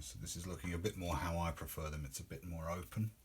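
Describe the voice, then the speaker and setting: Mumbling with vocal fry, a man speaks in a very deep, low pitch. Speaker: occult teacher. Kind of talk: tutorial. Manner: halting.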